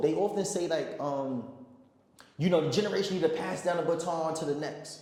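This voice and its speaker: A man's high voice at a fairly quick pace with fairly even intonation, amid audible room echo and noticeable background noise. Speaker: activist vlogger. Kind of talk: vlog reflection monologue. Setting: recorded while travelling abroad. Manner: halting, with fillers and repetitions.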